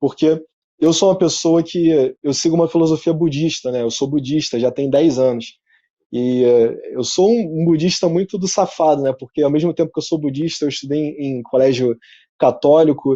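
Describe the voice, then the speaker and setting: At a moderate pace, a man with an unremarkable speaking voice uses a fairly high pitch and ordinary pitch variation. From Rio de Janeiro, Zona Norte suburb. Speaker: entrepreneur and speaker. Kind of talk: talk at an online event. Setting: his office showroom, video presentation. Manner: casual, conversational.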